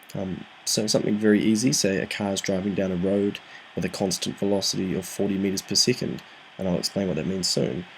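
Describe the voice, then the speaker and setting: The speech comes at a very fast pace. Pitch variation is ordinary. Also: man, fairly low pitch for a man. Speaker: physics tutor. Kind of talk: tutorial. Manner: soft-spoken, talking quietly; hesitant, frequent ums.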